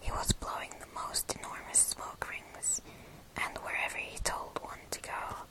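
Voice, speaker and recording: A woman whispering at a fairly slow pace, with noticeable background noise. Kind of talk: ASMR book reading, bedtime story. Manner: soft, intimate, close to the mic.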